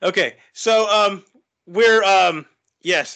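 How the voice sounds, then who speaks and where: A man's raised, projected voice has a bright, sharp tone. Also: quiet background. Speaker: host of group poetry discussion. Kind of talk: casual discussion host talk. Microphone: video call.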